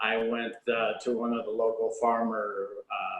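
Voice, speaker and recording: This is a man speaking. He has a slight Southern US accent. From US South. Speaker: baker and shop owner. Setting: video call.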